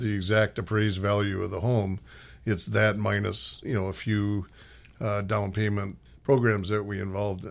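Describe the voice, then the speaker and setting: A plain, everyday voice from a man with an American accent, fairly low in pitch, fairly even in intonation and moderate in pace, on a very clean recording with a silent background. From Minnesota. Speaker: nonprofit executive. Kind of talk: radio interview. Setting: radio studio.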